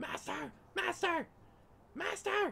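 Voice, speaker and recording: A squeaky, high-pitched put-on character voice. Clear background noise can be heard. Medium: actual play. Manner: frantic, servile.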